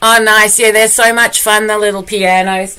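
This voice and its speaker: Bright and sharp in tone, a woman speaks at a fairly high pitch with an Australian accent. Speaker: performance artist and poet. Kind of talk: casual live stream chat. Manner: warm, friendly.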